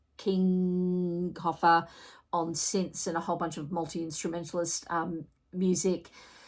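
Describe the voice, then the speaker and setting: In an Australian accent, a woman speaks with a fairly low pitch and monotone, flat intonation in a very clean recording with a silent background. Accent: Australian twang. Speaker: music reviewer, vinyl collector. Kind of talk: album review vlog. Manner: casual, conversational with fillers.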